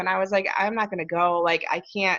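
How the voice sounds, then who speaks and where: Against a quiet background, a woman with a Chicago accent talks at a medium pitch in monotone, flat intonation. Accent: US Midwest (Chicago). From Chicago area. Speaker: support group leader. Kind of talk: interview. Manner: halting, with repetitions.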